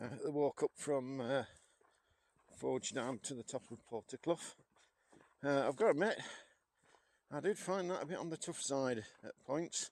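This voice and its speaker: In a Yorkshire accent, a man with a fairly high pitch and lively intonation takes long, frequent pauses, recorded with a dry, close sound with no echo. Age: 60s. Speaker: walking vlogger. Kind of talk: casual vlog narration. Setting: outdoors. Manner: hesitant, many fillers.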